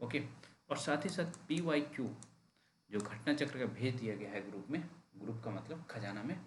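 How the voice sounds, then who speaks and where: Audible room echo surrounds a man at a medium pitch. His voice is somewhat breathy, with lively intonation. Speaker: exam coaching teacher. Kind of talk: online class announcement. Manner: deliberately slow.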